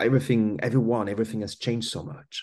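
Vocal fry colors a voice with a French accent. The background is quiet. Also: man. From France. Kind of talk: casual interview conversation.

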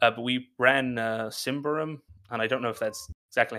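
On a very clean recording with a silent background, a man talks in a bright, sharp tone. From Ireland. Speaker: tabletop game writer and streamer. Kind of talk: interview. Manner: halting, many fillers.

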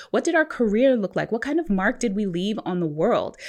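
A woman with an American accent talks at a fairly quick pace over a quiet background. Her fairly high voice moves in very wide pitch swings. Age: 40s. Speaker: attorney and financial coach. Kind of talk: casual interview.

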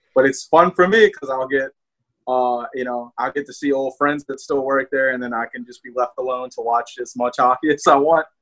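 A man with a strong New Orleans accent talks at a fairly quick pace and medium pitch, with fairly even intonation. His loudness swings widely, and the sound is dry and close with no echo. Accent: Southern New Orleans accent, fairly strong. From New Orleans, Louisiana. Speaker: hockey fan and podcaster. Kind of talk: casual chat.

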